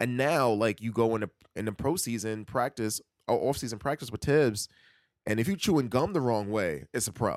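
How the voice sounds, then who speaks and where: With a New York accent, a man talks at a fairly quick pace in a medium pitch, his intonation lively and the sound dry and close with no echo. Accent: New York City. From New York City (Queens). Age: 30s. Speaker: podcast co-host. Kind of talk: casual chat. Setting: remote recording from home.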